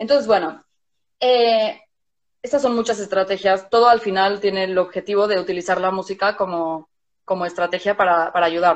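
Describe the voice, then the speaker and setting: With an unremarkable speaking voice, a woman talks at a moderate pace and a medium pitch with ordinary pitch variation. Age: 30s. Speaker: music therapist. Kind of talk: casual chat.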